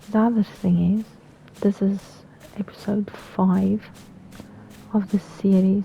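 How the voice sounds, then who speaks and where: Speaking at a fairly slow pace with long, frequent pauses, a woman keeps a medium pitch, monotone, flat intonation and very even loudness. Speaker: gaming YouTuber. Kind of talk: let's play commentary. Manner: halting, repeats words; casual, chatty.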